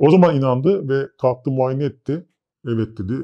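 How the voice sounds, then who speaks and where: A man at a moderate pace with lively intonation against a quiet background. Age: 30s. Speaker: interviewee claiming alien abduction; interviewee. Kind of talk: interview storytelling. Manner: hesitant with filler sounds. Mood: calm, reflective. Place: studio. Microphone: lapel.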